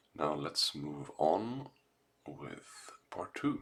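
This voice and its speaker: A man is speaking. He whispers. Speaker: gaming YouTuber. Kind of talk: casual vlog talk. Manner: soft-spoken.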